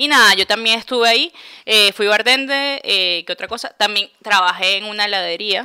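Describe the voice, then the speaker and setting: At a moderate pace, a bright, sharp voice speaks with ordinary pitch variation, the sound dry and close with no echo. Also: woman, fairly high pitch for a woman. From Venezuela, Puerto Ordaz. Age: 20s. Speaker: podcast co-host. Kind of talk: casual chat.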